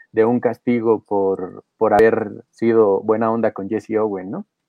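A man is speaking. His pace is very slow. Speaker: sports podcast co-host. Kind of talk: casual chat.

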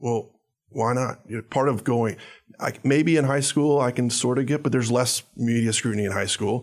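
Recorded very cleanly with a silent background, a man with a medium pitch speaks in an ordinary speaking voice at a moderate pace. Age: 30s. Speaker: data analytics company executive, former college punter. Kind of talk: casual interview.

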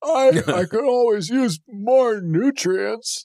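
A put-on character voice, pitched fairly high and delivered at a very slow pace. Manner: slow, one volume.

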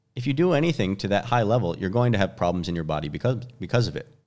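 A man talks at a fairly quick pace with lively intonation, on a very clean recording with a silent background. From US Midwest, Chicago. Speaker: gym owner and movement coach. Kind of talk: casual interview chat.

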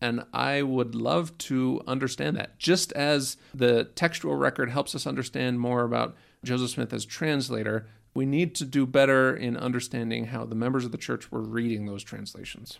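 A man with a Utah accent, medium pitch and ordinary pitch variation at a moderate pace, in a very clean recording with a silent background. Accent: Utah American English. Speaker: historian. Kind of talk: interview.

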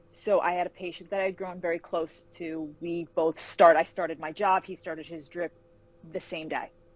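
A woman's fairly low voice in a New York accent, monotone and flat in intonation, at a moderate pace with big swings in loudness. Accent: New York area American. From New York (Carmel, outside Manhattan). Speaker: fantasy novelist. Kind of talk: interview. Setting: call.

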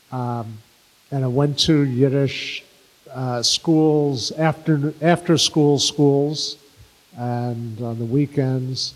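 A man speaks in a New York accent at a very slow pace. His intonation stays fairly even. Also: fairly high pitch for a man. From New York City (Bronx/Brooklyn). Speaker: Yiddish singer and songwriter, filmmaker. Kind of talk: interview before live audience.

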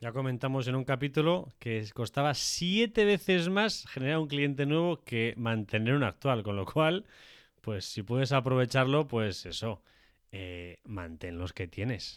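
In a very clean recording with a silent background, a man at medium pitch talks at a fairly slow pace with very wide pitch swings. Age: 30s. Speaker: podcast co-host on industry, tech and sales. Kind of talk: casual chat and explanatory discussion.

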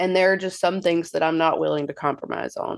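A woman with an American accent has a normal speaking voice and a fairly low pitch. Her pitch varies in an ordinary way over a quiet background. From US South (Mississippi). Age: 30s. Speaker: patient sharing illness story. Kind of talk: interview.

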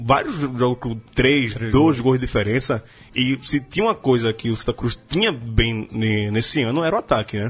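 The man's voice is somewhat breathy, with a medium pitch and ordinary pitch variation. He talks at a moderate pace. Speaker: sports journalist. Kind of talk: casual chat.

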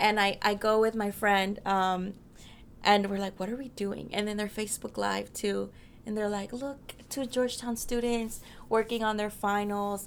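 Speaking with an American accent, a woman talks at a moderate pace and a medium pitch with monotone, flat intonation. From US Southwest, Mesa, Arizona. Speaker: university student. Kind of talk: interview. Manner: casual, frequent fillers like 'like' and 'um'.

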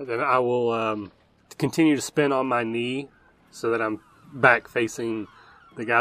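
A man's ordinary speaking voice, medium in pitch, with fairly even intonation at a moderate pace. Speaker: player. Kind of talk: tabletop roleplaying game, in-character narration.

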